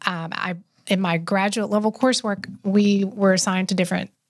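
A woman's voice comes through somewhat breathy. The recording is very clean, with a silent background. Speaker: health and wellness expert. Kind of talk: casual interview chat.

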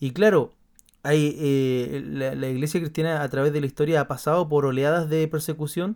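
With an ordinary speaking voice, a man talks at a moderate pace and a fairly high pitch, keeping fairly even intonation. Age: 30s. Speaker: podcast host, pastor. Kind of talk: casual chat.

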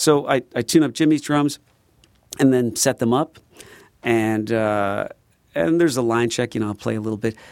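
A man's medium-pitched voice with an American accent, at a moderate pace broken by long, frequent pauses. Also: ordinary pitch variation, dry, close sound with no echo. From Chicago, southeast side. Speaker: drummer and former drum shop owner. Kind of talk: casual interview chat. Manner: talkative, many fillers.

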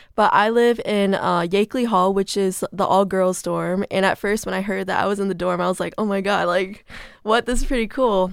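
On a very clean recording with a silent background, a woman speaks at a moderate pace and medium pitch, with hardly any pauses and fairly even intonation. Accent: Midwestern American. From Michigan. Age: young. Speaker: college student. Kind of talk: casual interview.

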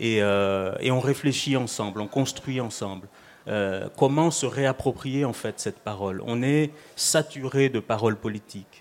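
A man talks in a normal speaking voice at a fairly slow pace. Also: medium pitch for a man, ordinary pitch variation. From Mayotte. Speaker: writer and playwright. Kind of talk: live radio panel discussion. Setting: live public broadcast at tables.

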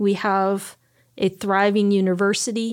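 A woman speaks at a fairly slow pace in a medium-pitched voice, a normal speaking voice. The recording is very clean, with a silent background. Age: 50s. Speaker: pastor and author. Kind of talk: interview.

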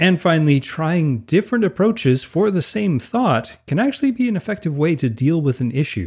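A man with a Canadian accent talks at a fairly quick pace and a high pitch, with hardly any pauses, very wide pitch swings and a quiet background. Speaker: podcast co-host. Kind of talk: casual chat.

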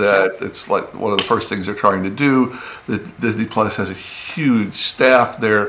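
Against noticeable background noise, a man with an American accent talks at a fairly slow pace in a fairly low pitch with fairly even intonation. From US Midwest and East Tennessee. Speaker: TV animation showrunner. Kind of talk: casual interview chat.

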